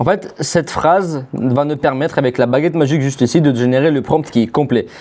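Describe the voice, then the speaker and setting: Ordinary pitch variation from a man with a non-native accent. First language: not French (speaking French). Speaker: AI agency owner, YouTuber. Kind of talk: tutorial. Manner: casual, conversational.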